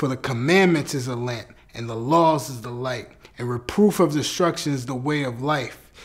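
Over a quiet background, a solemn tone carries ordinary pitch variation and big swings in loudness. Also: man. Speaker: spoken word performer. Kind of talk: spoken word poetry. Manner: earnest, fervent, rhythmic preaching cadence; solemn, deliberate, declarative. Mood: solemn, devotional.

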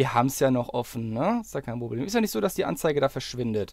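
Heard on a very clean recording with a silent background, a man's voice moves in very wide pitch swings. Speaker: YouTuber. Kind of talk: angry rant, screen-recorded video commentary. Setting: screen-recorded video, voiceover. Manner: fuming and sarcastic, swearing, clipped and sharp; sarcastically jokey with bursts of swearing and impatient muttering.

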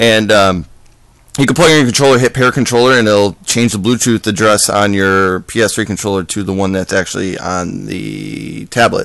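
A man speaks at a moderate pace with fairly low pitch and ordinary pitch variation. The sound is dry with no echo, and the background is quiet. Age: 30s. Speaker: gaming tutorial youtuber. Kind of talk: tutorial. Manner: casual, rambling with fillers. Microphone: phone near.

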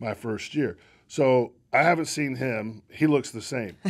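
A man talks with an American accent at a moderate pace. His pitch varies in an ordinary way, over a quiet background. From North Carolina, Locust; North Carolina. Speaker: baseball executive; interview guest. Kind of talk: casual chat. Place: studio. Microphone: studio mic.

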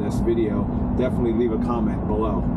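A man talks while loud background noise fills the clip. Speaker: car vlogger. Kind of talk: casual vlog chat. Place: car. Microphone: camera far.

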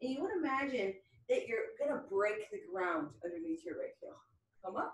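The voice is somewhat breathy and moves at a moderate pace. Audible room echo surrounds it. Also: woman. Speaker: fitness instructor. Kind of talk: workout instruction. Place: home room. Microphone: camera far.

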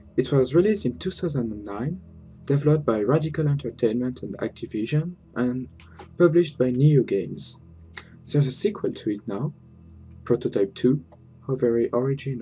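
A man's somewhat breathy, dark and mellow voice, fairly high in pitch, with a non-native accent, lively intonation and long, frequent pauses over light background noise. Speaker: let's play gamer. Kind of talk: casual gaming commentary. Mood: joking, relaxed. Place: home room. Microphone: headset.

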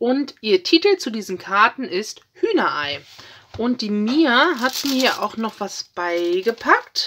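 The pace is slow. The pitch swings a lot. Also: woman, fairly bright tone.

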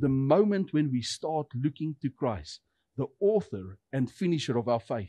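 A man speaks at a fairly high pitch in a dark, mellow tone with very wide pitch swings. The sound is dry with no echo against a quiet background. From South Africa. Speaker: pastor. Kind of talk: sermon. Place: church. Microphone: headset.

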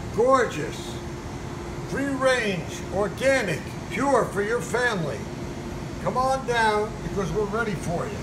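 A man speaks with long, frequent pauses. Noticeable background noise is present. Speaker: butcher shop owner. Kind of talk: street-seller-style sales pitch, rattling off meat cuts like a market barker. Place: shop. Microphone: phone near.

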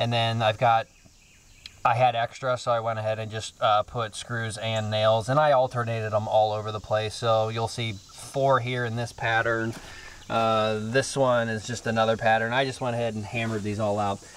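A man's monotone, flat delivery at a moderate pace, dry sound with no echo. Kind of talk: tutorial. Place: open country. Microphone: phone near.

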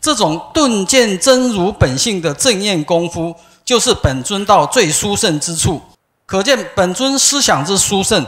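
Against a quiet background, a man speaks at a fairly slow pace. His high voice makes very wide pitch swings. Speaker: religious follower. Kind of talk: prepared speech. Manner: formal. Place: hall.

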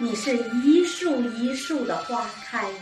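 A woman speaks at a very slow pace in a high pitch with a gentle tone and ordinary pitch variation. Music plays clearly in the background. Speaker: amateur reciter. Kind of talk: poetry reading. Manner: gentle, elegant. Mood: gentle, elegant, lyrical. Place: home room. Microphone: camera far.

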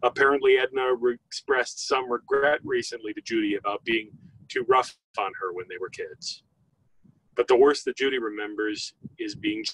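Dry with no echo, a man speaks at a moderate pace. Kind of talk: eulogy. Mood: solemn, measured. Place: open country.

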